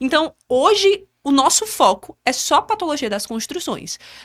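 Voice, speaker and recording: A woman speaks at a moderate pace in a bright, sharp tone. Her pitch swings very widely on a very clean recording with a silent background. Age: 20s. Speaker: civil engineer and business owner. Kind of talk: podcast interview.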